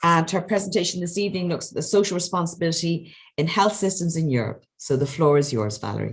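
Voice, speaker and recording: A woman with an Irish accent talks very fast, with hardly any pauses, in a fairly low voice with vocal fry. Her pitch varies in an ordinary way. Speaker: webinar moderator, health manager. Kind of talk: webinar moderation.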